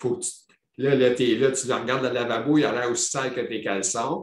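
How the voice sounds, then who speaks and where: In a Quebec accent, a man speaks at a medium pitch. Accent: Québécois French. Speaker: podcast host living with multiple sclerosis. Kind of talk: casual interview chat. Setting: video call.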